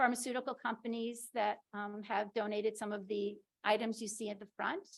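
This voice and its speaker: The recording is very clean, its background silent. The speaker is a woman. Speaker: nurse navigator. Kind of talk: event welcome speech. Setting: conference room with live audience. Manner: fast.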